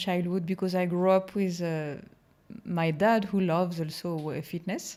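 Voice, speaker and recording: A woman speaks with a French accent at a medium pitch. Her intonation stays fairly even. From France. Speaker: hypnotherapist. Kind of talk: interview.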